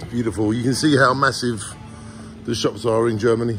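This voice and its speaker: Music behind a medium-tempo voice with fairly level intonation. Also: man. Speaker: travel vlogger. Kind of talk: casual vlog chat. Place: shop. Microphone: phone near.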